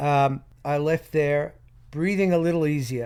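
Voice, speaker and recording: A man with an Australian accent at a fairly slow pace. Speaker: private investigator. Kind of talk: interview storytelling.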